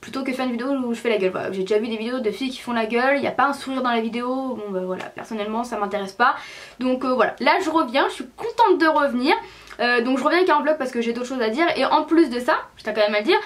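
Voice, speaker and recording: A woman speaks at a very fast pace in a high, animated voice with lively intonation over noticeable background noise. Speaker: beauty vlogger. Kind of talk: casual vlog.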